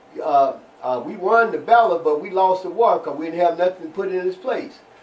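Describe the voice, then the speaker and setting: Noticeable background noise sits behind a man with an American accent and a high pitch. He talks at a fairly quick pace with lively intonation. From Cairo, Illinois (southern Illinois). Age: 70s. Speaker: civil rights activist. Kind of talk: interview testimony. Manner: halting, many repetitions.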